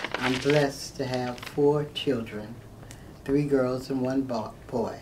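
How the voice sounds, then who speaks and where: Speaking with an American accent, the voice moves at a very slow pace with monotone, flat intonation, amid noticeable background noise and audible room echo. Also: woman, very deep, low pitch for a woman. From Florida, St. Petersburg. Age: 60s. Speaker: mayoral candidate. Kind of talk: interview.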